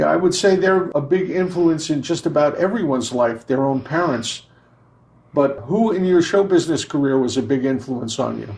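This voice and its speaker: With a plain, everyday voice, a man talks at a moderate pace using lively intonation. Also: fairly high pitch for a man. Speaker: podcast co-host and entertainer. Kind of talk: podcast host reading listener questions.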